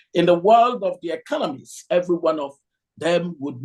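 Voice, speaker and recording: Here a man speaks in a high pitch. He has a Nigerian accent. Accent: Nigerian Igbo English. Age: 60s. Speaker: economist lecturer. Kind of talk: lecture. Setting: hall with audience, streamed on video call.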